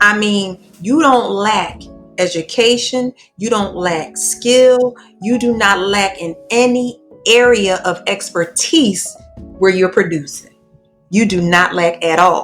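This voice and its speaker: Music plays behind a woman with a medium pitch and ordinary pitch variation. She speaks at a very slow pace. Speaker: podcast host. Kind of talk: interview question.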